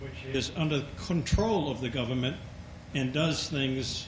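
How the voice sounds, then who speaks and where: A man with a fairly high voice speaks at a fairly slow pace, and the room echo is audible. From Maine. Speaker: audience member asking a question. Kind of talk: audience question.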